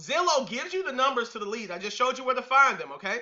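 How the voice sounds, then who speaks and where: A man's animated, extremely high voice with very wide pitch swings. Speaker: real estate investing coach. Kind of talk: webinar presentation. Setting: online webinar. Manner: loud.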